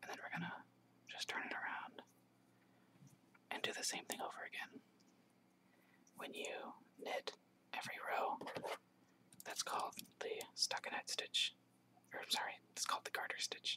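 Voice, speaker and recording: A man whispers, leaving long, frequent pauses. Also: moderate pace. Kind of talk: instructional tutorial. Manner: whispering, soft-spoken.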